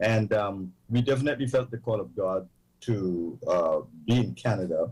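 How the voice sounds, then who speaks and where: A man's somewhat breathy voice of medium pitch. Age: 70s. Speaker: pastor. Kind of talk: interview.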